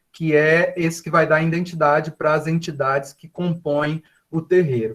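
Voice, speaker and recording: Fairly high in pitch and fairly slow in pace, a man talks in an unremarkable speaking voice. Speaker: professor. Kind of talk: lecture.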